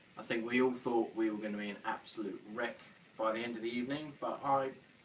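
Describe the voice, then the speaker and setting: A man keeps a moderate pace and fairly even intonation while audible room echo fills the recording. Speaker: homebrewing vlogger. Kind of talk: casual vlog; casual chat at an event. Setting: beer festival, crowded hall.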